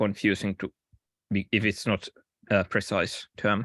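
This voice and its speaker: A man with a non-native accent talks at a moderate pace in a fairly low voice. The sound is dry and close with no echo, over a quiet background. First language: not English. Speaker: software developer presenting an issue. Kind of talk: online work meeting discussion. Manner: halting, many fillers.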